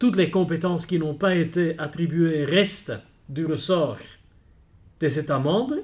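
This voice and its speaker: At a fairly slow pace, a man with a Dutch accent talks at fairly high pitch with ordinary pitch variation. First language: Dutch (speaking French). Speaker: senior judge, president of a European court. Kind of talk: interview.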